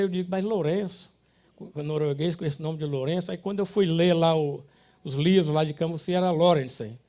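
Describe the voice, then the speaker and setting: A man speaks at a high pitch with a dark, mellow tone. His intonation stays fairly even at a fairly quick pace. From Ceará, Brazil (Sobral, Camocim). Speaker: industrialist. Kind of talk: life story talk. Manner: halting.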